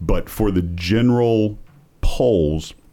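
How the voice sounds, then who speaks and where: A man speaks in a Southern US accent. His tone is dark and mellow. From US South. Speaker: political science professor and pollster. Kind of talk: interview. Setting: studio.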